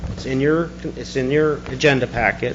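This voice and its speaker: This man's voice sits fairly high, and background noise is clearly present. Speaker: public commenter at board meeting. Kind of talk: public comment. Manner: fast.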